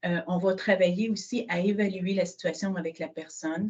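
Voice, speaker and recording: A woman's somewhat breathy voice at a medium pitch. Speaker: social housing director. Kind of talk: webinar presentation.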